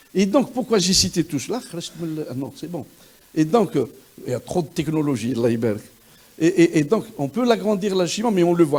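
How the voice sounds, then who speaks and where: At a moderate pace, a man talks in an animated tone with a high pitch, very wide pitch swings, and long, frequent pauses. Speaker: virologist. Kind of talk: lecture. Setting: conference hall with audience. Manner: animated, interactive; halting with repetitions.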